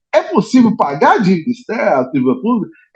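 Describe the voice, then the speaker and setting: Speaking at a fairly quick pace, a man with a high pitch swings very widely up and down. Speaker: trade unionist. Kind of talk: debate question. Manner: soft-spoken.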